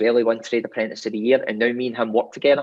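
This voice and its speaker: A man speaks with a Scottish accent. His intonation is monotone and flat. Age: 40s. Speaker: roofing business owner. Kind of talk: interview.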